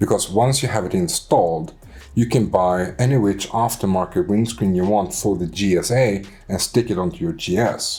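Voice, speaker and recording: A man with a Swedish accent, fairly low in pitch with lively intonation, over music in the background. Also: moderate pace. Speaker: motorcycle vlogger. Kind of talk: casual chat. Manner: halting.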